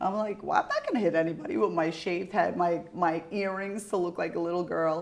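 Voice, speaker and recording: A woman with an Albanian accent, fairly low in pitch, animated in tone, at a fairly quick pace with hardly any pauses, over noticeable background noise. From Albanian family in the US. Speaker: podcast host. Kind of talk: casual interview chat.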